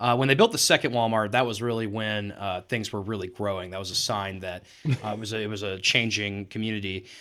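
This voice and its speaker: A man with an American accent speaks in a bright, sharp tone at a fairly low pitch with fairly even intonation, on a very clean recording with a silent background. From Texas, Weatherford. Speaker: political campaign manager. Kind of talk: podcast interview. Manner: casual, many filler words.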